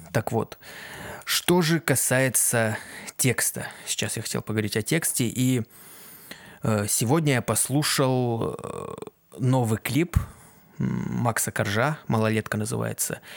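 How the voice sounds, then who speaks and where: Very slow male speech at medium pitch, ordinary pitch variation, long and frequent pauses, dry, close sound with no echo. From Kazakhstan. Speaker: aspiring sound engineer and musician, podcast host. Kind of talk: solo casual podcast monologue. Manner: halting, many filler sounds.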